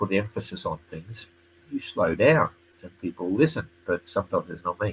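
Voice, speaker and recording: Speaking with an Australian accent, the voice has a bright, sharp tone. It moves at a fairly quick pace with ordinary pitch variation. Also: man. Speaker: sailing race commentator. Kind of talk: live stream tutorial and chat. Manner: fast. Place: home room. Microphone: webcam.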